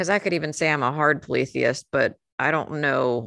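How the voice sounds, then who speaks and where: A woman talks at a moderate pace with an American accent. The sound is dry and close, with no echo. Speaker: podcast co-host, witch. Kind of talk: casual chat.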